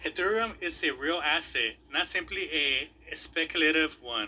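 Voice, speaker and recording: Using a bright, sharp tone and a non-native accent, a man speaks at a moderate pace with ordinary pitch variation. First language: not English. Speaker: crypto YouTuber. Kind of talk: casual commentary video. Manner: halting, repeats words.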